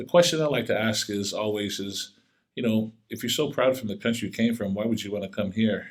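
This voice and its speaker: A man's normal speaking voice, fairly low in pitch, with ordinary pitch variation at a moderate pace. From Tonga, moved to US as a child. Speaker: former college athlete and actor. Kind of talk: podcast interview.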